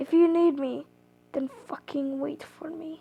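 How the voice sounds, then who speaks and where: A woman uses a put-on character voice, high in pitch with a hissing sound. She speaks fairly slowly in a monotone, with flat intonation. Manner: hissing, threatening.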